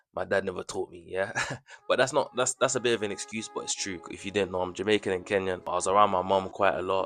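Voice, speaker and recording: Over music in the background, a man with a British accent and a fairly low pitch talks at a very fast pace, with big swings in loudness. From Birmingham, England. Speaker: footballer vlogger. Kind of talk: casual vlog monologue. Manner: animated.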